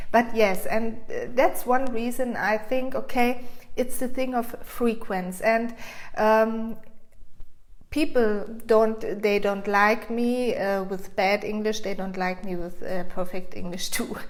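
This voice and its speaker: A woman's fairly high voice with a non-native accent, very slow and fairly even, with audible room echo. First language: German. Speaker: frequency coach. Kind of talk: casual vlog monologue. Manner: halting.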